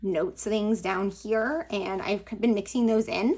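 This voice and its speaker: At a fairly slow pace, this is an unremarkable speaking voice. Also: woman. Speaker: planner and crafting YouTuber. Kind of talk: casual flip-through vlog. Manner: casual, lots of fillers like 'like' and 'um'.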